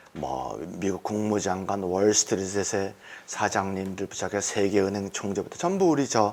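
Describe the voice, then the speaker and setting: This man talks at a moderate pace. His is an unremarkable speaking voice. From South Korea. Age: 60s. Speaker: entrepreneur giving testimony. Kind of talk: testimony.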